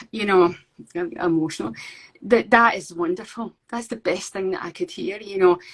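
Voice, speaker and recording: Here a woman speaks in a Scottish accent. Her voice is somewhat breathy. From Scotland. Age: 50s. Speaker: painter. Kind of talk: interview. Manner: halting.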